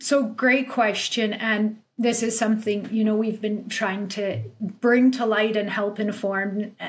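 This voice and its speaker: A woman with a Canadian accent speaks at a very slow pace, somewhat breathy. Her intonation stays monotone and flat. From Canada, of Polish farming family. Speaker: lawyer. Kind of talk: casual interview. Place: home room. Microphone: webcam.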